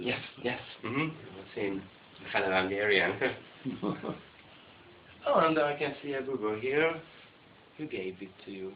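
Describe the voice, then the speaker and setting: The intonation is lively and the pace moderate, broken by long, frequent pauses. Noticeable background noise sits under the speech. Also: man, medium pitch for a man, big swings in loudness. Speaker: interviewer. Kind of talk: casual conversation.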